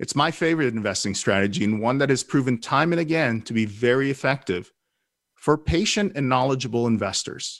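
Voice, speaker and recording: A man speaks in a normal speaking voice at a medium pitch and a fairly quick pace, with lively intonation. The recording is very clean, with a silent background. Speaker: radio host. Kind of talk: radio show monologue. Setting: radio studio. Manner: clear, polished.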